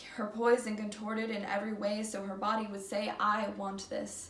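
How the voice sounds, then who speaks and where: Against noticeable background noise, a woman speaks at a moderate pace in a flat monotone at medium pitch. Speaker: student. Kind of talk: slam poetry performance. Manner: reading from paper, not memorized.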